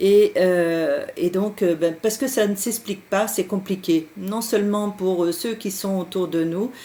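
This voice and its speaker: At a very slow pace, a woman with a medium pitch and a dark, mellow tone speaks with ordinary pitch variation. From France, Berry region. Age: 60s. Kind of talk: live stream talk. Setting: Skype live stream. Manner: hesitant, many fillers.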